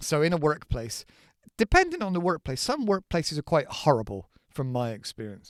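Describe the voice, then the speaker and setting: A man with a British accent is heard in dry, close sound with no echo, on a very clean recording with a silent background. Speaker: English teacher. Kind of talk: English lesson podcast. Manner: casual, conversational.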